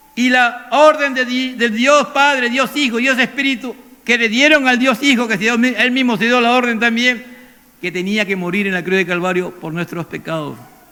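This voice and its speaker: A man speaks in an extremely high pitch with ordinary pitch variation. His voice is raised and projected, at a moderate pace. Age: 70s. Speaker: pastor. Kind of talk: sermon.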